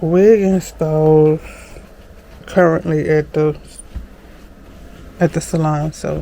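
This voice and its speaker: A woman talks very slowly, with clear noise in the background. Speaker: vlogger and hairstylist. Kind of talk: casual vlog.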